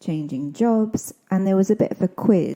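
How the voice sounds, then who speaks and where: A dark, mellow tone carries this speech at a moderate pace, with ordinary pitch variation. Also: woman. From southeast Scotland. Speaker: podcast host and English teacher. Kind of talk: scripted podcast narration and language explanation.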